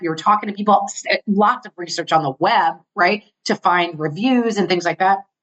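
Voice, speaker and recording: A woman speaks at a medium pitch. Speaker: international speaker and entrepreneur. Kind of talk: podcast interview. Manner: fast; animated.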